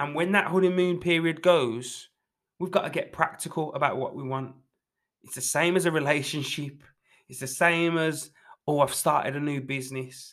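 A man with a normal speaking voice and fairly high pitch, moderate pace, fairly even intonation and big swings in loudness. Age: 20s. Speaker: fitness coach podcast host. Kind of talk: motivational solo talk.

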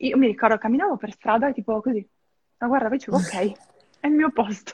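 Somewhat breathy, a woman talks at a very fast pace in a dry, close sound with no echo. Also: quiet background. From northern Italy, Verona. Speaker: expat guest, film restorer. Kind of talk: casual interview. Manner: fast, hesitant with fillers.

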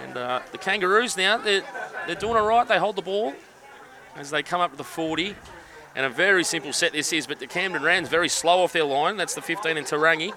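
A man speaks at a high pitch with an upbeat tone and ordinary pitch variation. Noticeable background noise is present. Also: fairly quick pace. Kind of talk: live sports commentary. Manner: fast play-by-play calling, upbeat, chatty with filler.

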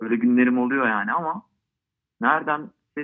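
Fairly quick and medium-pitched, a man talks in an unremarkable speaking voice with ordinary pitch variation. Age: 30s. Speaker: football fan. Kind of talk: casual interview. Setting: phone call.

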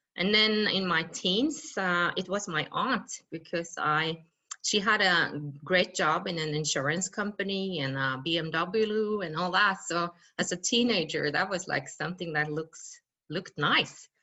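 A woman with a Norwegian accent, fairly low pitch, ordinary pitch variation and fairly slow pace. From western Norway. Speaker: mountaineer and speaker. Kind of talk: interview. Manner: halting.

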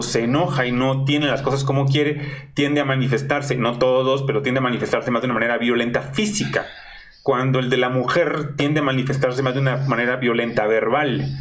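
Speech with a Mexican accent comes at a fairly quick pace and very even loudness. Audible room echo and noticeable background noise fill the recording. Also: man, hardly any pauses. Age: 40s. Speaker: online show host. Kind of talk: casual interview.

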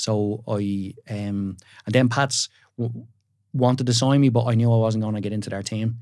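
A man with a Dublin accent talks at a moderate pace in a medium pitch. His intonation is fairly even, and the recording is very clean with a silent background. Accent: Dublin Irish. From Ireland, Dublin area. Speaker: builder and TV presenter. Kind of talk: casual chat. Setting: studio.

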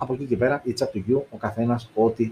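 A man's somewhat breathy voice. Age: 30s. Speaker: tech YouTuber. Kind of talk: tech review live stream. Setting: live stream on video. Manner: casual, many fillers.

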